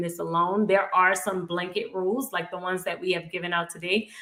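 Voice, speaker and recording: In a New Orleans accent, a woman speaks at a medium pitch with a bright, sharp tone and fairly even intonation. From US South, New Orleans, Louisiana. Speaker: personal finance youtuber. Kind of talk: live stream Q&A. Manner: casual, conversational.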